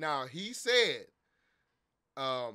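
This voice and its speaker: The man's voice has a bright, sharp tone. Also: quiet background. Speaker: streamer. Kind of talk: casual stream chat, storytelling. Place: home room. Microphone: headset.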